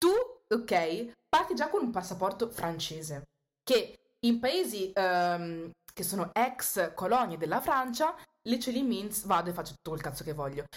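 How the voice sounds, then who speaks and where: Over a very clean recording with a silent background, a woman speaks at medium pitch. Her pace is fairly slow, and her pitch swings very widely. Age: 20s. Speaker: student and activist. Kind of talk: casual chat.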